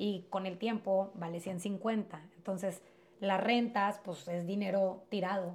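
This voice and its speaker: A woman's somewhat breathy, medium-pitched voice, very slow and monotone with flat intonation. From Mexico-US border, Piedras Negras area. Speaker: real estate agent. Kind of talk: interview.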